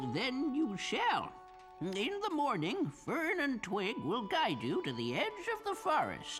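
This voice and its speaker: A cartoonish character voice moves at a fairly slow pace as clear music plays in the background. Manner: genial, chuckling, prone to rambling.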